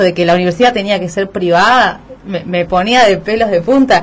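A woman speaks in an ordinary speaking voice at a medium pitch. Her pitch variation is ordinary, and her pace is moderate. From Argentina (raised there, born in Bolivia). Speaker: radio host. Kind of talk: radio interview.

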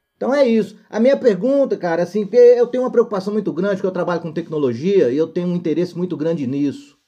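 A man talks at a very fast pace with hardly any pauses, his pitch high and his tone dark and mellow. His intonation is lively. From northern Minas Gerais, Brazil (Montes Claros). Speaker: co-host, works in technology. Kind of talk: casual chat, audience question.

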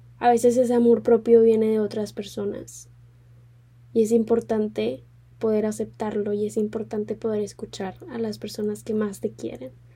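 A woman's fairly high, somewhat breathy voice with a dark, mellow tone, fairly even intonation and a moderate pace. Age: 20s. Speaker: podcast host, law student. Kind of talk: casual solo podcast chat.

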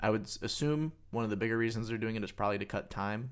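The recording is very clean, with a silent background. A man talks at medium pitch with ordinary pitch variation. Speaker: podcast co-host. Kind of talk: casual chat.

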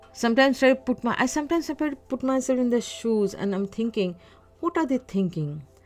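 A woman speaks at a fairly quick pace in a high pitch with very wide pitch swings. Music plays in the background. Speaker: solo podcaster. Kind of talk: casual monologue. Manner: halting, many fillers.

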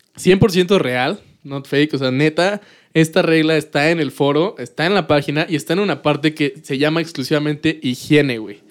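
On a very clean recording with a silent background, a man talks at a moderate pace in a fairly high pitch. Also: ordinary pitch variation. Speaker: podcast host. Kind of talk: casual chat. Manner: animated.

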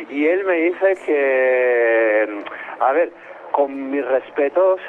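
Ordinary pitch variation in a man's speech, against noticeable background noise. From Spain. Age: 30s. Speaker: caller living in Spain. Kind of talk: phone interview. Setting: phone call from the street.

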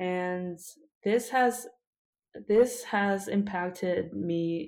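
A woman with a Korean accent speaks very slowly at a fairly low pitch on a very clean recording with a silent background. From South Korea. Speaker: PhD student and mental health advocate. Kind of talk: interview.

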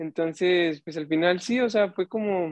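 This man's voice is high-pitched. He keeps his intonation fairly even. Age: 20s. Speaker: youth ministry volunteer. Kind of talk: casual chat.

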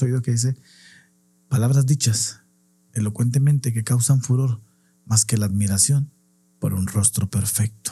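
This man's voice has a dark, mellow tone and is somewhat breathy. He talks at a fairly slow pace. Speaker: clown and podcast co-host. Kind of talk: casual chat.

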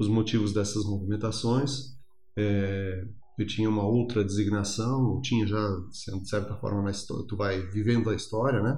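Amid audible room echo, a somewhat breathy man speaks in a fairly low pitch with monotone, flat intonation. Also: moderate pace. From Rio Grande do Sul, Brazil (Erechim). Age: 50s. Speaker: regional development analyst. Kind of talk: interview. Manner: halting, with many fillers.

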